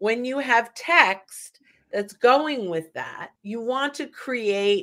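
The speaker has an American accent. Their intonation is lively. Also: woman. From US Northeast, New York / North Jersey. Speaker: sales consultant and podcast co-host. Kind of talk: casual chat. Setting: live video stream, virtual studio.

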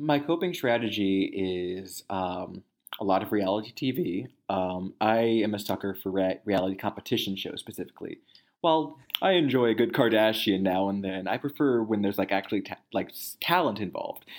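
Fairly quick, lively delivery from a man with fairly low pitch, a plain, everyday voice, on a very clean recording with a silent background. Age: 30s. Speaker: news editor and reporter. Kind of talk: casual chat.

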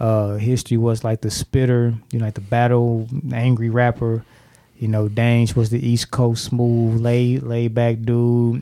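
A man with an American accent, medium pitch, a dark, mellow tone and monotone, flat intonation, at a fairly slow pace. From St. Louis, Missouri (University City, Hazelwood). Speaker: rapper. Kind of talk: casual chat.

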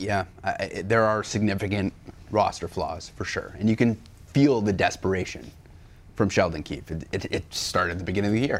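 Using a normal speaking voice, a man talks at a fairly quick pace and fairly low pitch with ordinary pitch variation. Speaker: sports talk show co-host. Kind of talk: casual sports talk show. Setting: studio.

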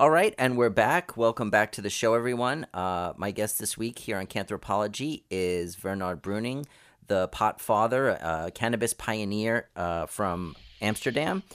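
A man with an American accent and an unremarkable speaking voice talks at a moderate pace with fairly low pitch and ordinary pitch variation on a very clean recording with a silent background. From United States. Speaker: podcast host. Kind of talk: scripted narration; interview.

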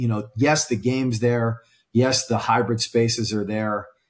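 The speaker has an American accent and sounds somewhat breathy, at a moderate pace with ordinary pitch variation. The recording is very clean, with a silent background. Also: man. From Pittsburgh, US Northeast. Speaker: events sales director. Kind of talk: casual interview. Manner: animated.

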